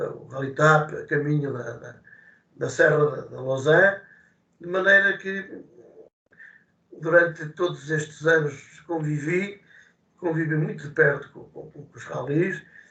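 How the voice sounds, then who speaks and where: At a very slow pace with long, frequent pauses, a man speaks in a fairly high pitch. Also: ordinary pitch variation, big swings in loudness. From Portugal, Coimbra area. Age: 70s. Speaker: retired rally association president. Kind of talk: interview. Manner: halting, many repetitions and fillers.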